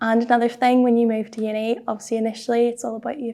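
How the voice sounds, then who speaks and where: This woman has a Northern Irish accent and a fairly high pitch, with a dark, mellow tone. She talks at a very fast pace in a monotone, flat intonation, on a very clean recording with a silent background. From Belfast, Northern Ireland. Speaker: university student. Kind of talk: interview answer.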